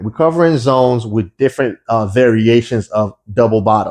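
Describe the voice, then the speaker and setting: A man's ordinary speaking voice at medium pitch, with ordinary pitch variation at a moderate pace over a quiet background. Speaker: forex trading educator. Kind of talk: tutorial.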